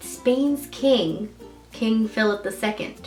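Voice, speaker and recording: Background music beneath a woman's fairly high-pitched voice. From Hawaii/California, USA. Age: 20s. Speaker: YouTuber. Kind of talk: casual talk to camera.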